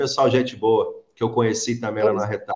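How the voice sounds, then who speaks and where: A man's voice against a quiet background. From Brazil. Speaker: YouTube channel host interviewing immigrants. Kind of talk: interview. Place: home room. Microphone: webcam.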